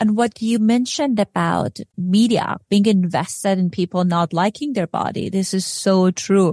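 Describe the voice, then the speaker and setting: On a very clean recording with a silent background, a woman speaks at a moderate pace with hardly any pauses. Her tone is dark, mellow and somewhat breathy, with ordinary pitch variation. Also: medium pitch for a woman. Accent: non-native. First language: not English. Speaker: podcast host and clinical psychologist. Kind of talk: interview.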